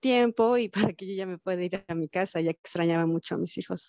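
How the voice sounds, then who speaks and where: A woman speaks with a Mexican accent. Her pitch is medium. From Mexico, Cuernavaca, Morelos. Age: 30s. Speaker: amputee mother sharing her story. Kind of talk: interview testimony.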